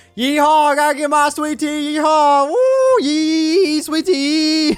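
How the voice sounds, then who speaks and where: In a put-on character voice with a Southern US accent, the speaker drawls at a fairly slow pace and a high pitch. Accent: exaggerated Southern. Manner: comical, exaggerated.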